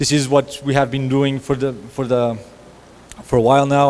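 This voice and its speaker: Through noticeable background noise and audible room echo, a man talks at a fairly quick pace in a medium pitch with a monotone, flat intonation. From Portugal, Lisbon. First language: Portuguese. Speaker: lead designer, conference speaker. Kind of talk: conference talk. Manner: halting, repeats words.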